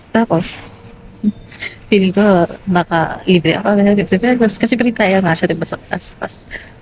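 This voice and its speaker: Amid noticeable background noise, a woman talks at a fairly slow pace with fairly even intonation and long, frequent pauses. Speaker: lifestyle vlogger. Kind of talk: casual vlog talk. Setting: hotel lobby. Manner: halting, filler-heavy.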